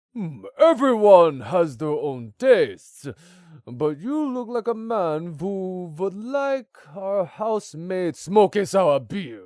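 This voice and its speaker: A man puts on a character voice, pitched high, with very wide pitch swings and big swings in loudness. He speaks at a very slow pace in a very clean recording with a silent background. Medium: read story. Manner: jovial, fond of puns.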